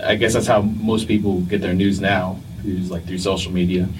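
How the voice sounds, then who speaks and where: Speaking at a moderate pace with an American accent, a man has a very deep, low pitch and ordinary pitch variation. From New Jersey, Vietnamese heritage.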